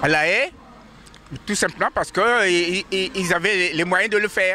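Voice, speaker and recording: Noticeable background noise accompanies a man speaking with a high pitch. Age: 80s+. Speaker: pan-African activist. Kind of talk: street interview. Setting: outdoors in front of the court. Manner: halting, many repetitions.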